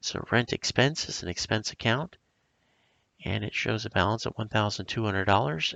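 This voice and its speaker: The speaker is a man. His voice has vocal fry. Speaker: accounting professor. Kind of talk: accounting tutorial.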